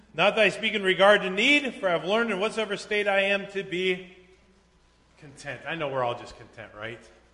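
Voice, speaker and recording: Against noticeable background noise, a man talks at a fairly quick pace in a high pitch. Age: 40s. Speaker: pastor. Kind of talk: sermon. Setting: church.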